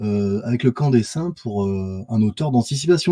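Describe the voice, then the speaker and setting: This man has a dark, mellow, somewhat breathy tone and lively intonation at a moderate pace. The recording is very clean with a silent background, and the sound is dry and close with no echo. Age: 40s. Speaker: sculptor. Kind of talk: casual chat. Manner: halting.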